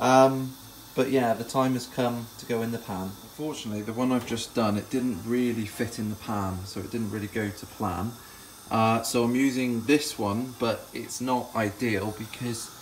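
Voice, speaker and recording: Light background noise sits behind a man speaking at a moderate pace with fairly even intonation. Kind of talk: casual cooking vlog chat. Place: kitchen. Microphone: phone near.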